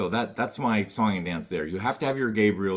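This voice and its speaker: A man with an American accent talks at a fairly quick pace in an animated tone. The recording is very clean, with a silent background. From Texas (Dallas). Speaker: trumpet professor and composer. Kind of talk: interview.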